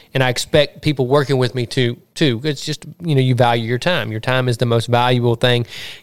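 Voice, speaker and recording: Speaking at a fairly quick pace in a Mississippi accent, a man uses medium pitch and ordinary pitch variation. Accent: Southern US (Mississippi). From US South, Southwest Mississippi. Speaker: podcast host and hunting land real estate agent. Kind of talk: casual interview chat. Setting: outdoors in the sun.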